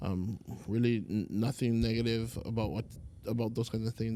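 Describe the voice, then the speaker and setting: Here a man speaks in a dark, mellow tone. His intonation is monotone and flat. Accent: Hawaiian. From Hawaii, Oahu. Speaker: Hawaiian language teacher. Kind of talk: casual chat.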